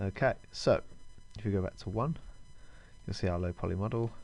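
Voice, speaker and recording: Music plays in the background. A man with a fairly low voice speaks at a fairly quick pace. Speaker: 3D modelling tutor. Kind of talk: tutorial. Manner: hesitant with fillers; fast.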